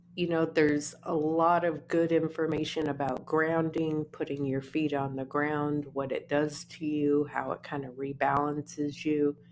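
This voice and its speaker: A woman speaks in a very deep, low voice at a fairly slow pace. Her intonation is monotone and flat. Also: hardly any pauses. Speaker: artist. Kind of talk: casual vlog talk. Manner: casual, conversational.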